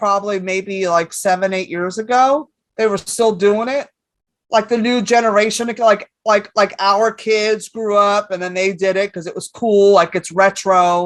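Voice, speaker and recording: In a New York accent, the speaker keeps an animated tone at a fairly slow pace. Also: woman, medium pitch for a woman. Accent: New York-sounding. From San Francisco, California. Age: 50s. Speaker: comedian. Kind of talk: casual chat. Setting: stage with audience.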